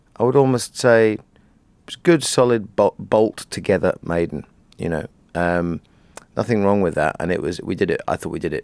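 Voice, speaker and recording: With lively intonation and a fairly low pitch, a man talks at a moderate pace in a dry, close sound with no echo. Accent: British. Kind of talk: interview answer.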